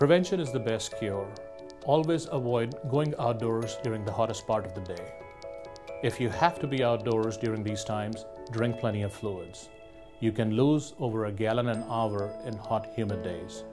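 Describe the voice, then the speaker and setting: Clear music plays in the background. Over it, a man talks at a moderate pace with ordinary pitch variation. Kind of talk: health information report. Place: office. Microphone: lapel.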